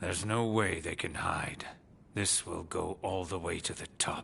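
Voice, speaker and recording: In a put-on character voice, the raspy speaker talks at a moderate pace over clear background noise. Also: man, very deep, low pitch for a man. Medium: short film. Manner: smooth, knowing.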